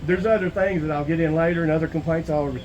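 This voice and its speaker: A man with a Southern US accent at a very fast pace, with audible room echo. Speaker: citizen auditor filing a complaint. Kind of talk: in-person conversation filing a complaint.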